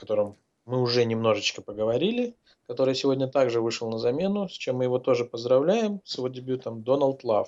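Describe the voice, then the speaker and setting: A man talks at a moderate pace and medium pitch with lively intonation. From Azerbaijan. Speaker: podcast host.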